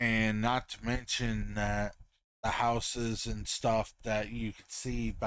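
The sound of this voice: There is an unforced reading voice over a quiet background.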